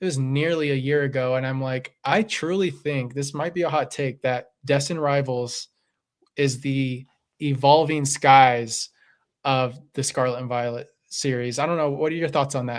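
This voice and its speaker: This man has a normal speaking voice, fairly high in pitch, with fairly even intonation. The recording is very clean, with a silent background. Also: moderate pace. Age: 30s. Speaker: Pokemon card collecting streamer. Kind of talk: casual chat. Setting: live stream.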